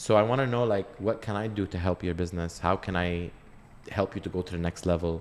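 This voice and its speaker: A man with an American accent, very deep and low in pitch, very fast, his intonation fairly even. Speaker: podcast host, reality TV personality. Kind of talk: casual interview chat. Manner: loud.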